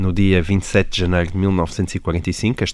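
The speaker has a European Portuguese accent. The recording is very clean with a silent background. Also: man. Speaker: journalist, podcast host. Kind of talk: podcast conversation.

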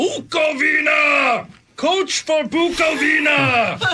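A man shouts in a put-on character voice at an extremely high pitch. His pace is very slow. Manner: creepy, calling out.

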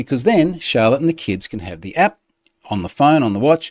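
A man talks with an Australian accent in a dry, close sound with no echo. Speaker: podcast host. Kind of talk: casual chat. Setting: home. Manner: informal, chatty.

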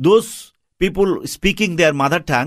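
A man's high voice with a Bangladeshi accent, on a very clean recording with a silent background. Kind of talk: radio interview. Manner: halting, non-fluent English.

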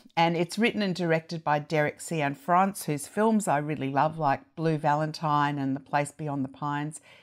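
A woman's very deep, low voice with an Australian accent, ordinary pitch variation, a moderate pace and hardly any pauses, on a very clean recording with a silent background. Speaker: TV critic. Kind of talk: casual chat.

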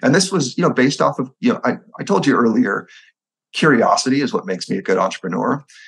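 Speaking very fast, a man with a fairly high pitch swings widely in pitch, with vocal fry. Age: 40s. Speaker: entrepreneur and army veteran. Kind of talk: interview.

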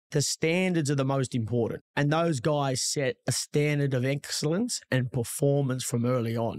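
Speaking at a moderate pace with hardly any pauses, a man with a fairly high voice and an Australian accent keeps his loudness very even and his pitch variation ordinary. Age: 40s. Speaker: real estate agent. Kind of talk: casual chat.

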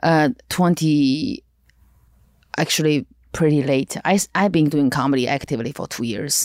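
A woman with a Chinese accent speaks at a fairly slow pace in a very deep, low voice with ordinary pitch variation. The sound is dry and close with no echo, in a very clean recording with a silent background. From China. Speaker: stand-up comedian. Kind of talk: casual interview chat.

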